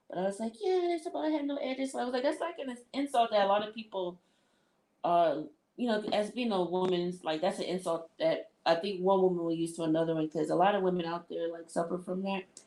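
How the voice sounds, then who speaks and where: A woman's medium-pitched, dark and mellow voice, very fast, with lively intonation. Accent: American. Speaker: livestreamer. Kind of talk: casual chat. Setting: live stream.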